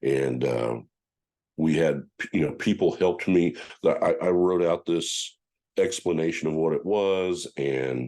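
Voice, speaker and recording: A man with an American accent talks at a fairly slow pace, leaving long, frequent pauses. His voice is very deep and low, with a dark, mellow tone and ordinary pitch variation. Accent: country accent, self-described. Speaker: powerlifting federation official. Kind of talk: podcast interview. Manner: halting, many repetitions and fillers.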